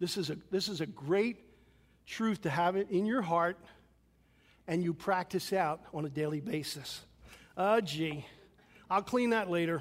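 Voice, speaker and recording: A man with a high voice speaks in an American accent at a fairly slow pace, with ordinary pitch variation. He leaves long, frequent pauses, and the recording is very clean with a silent background. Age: 60s. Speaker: pastor. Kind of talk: sermon. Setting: church.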